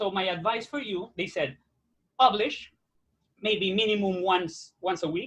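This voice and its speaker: This man talks loudly in a high voice. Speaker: actor. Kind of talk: interview. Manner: animated.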